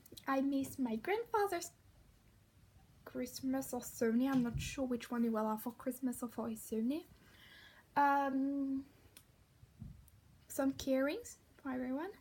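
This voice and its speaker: Speaking at a fairly slow pace with long, frequent pauses, a woman keeps a high pitch that varies in an ordinary way. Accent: French. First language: French. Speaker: vlogger. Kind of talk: casual vlog. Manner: halting.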